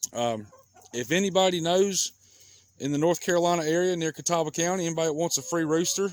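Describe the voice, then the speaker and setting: A man's relaxed tone in a Southern US accent, fairly high in pitch, at a fairly quick pace with ordinary pitch variation. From US South. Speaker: backyard chicken vlogger. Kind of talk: casual vlog talk. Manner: relaxed, conversational.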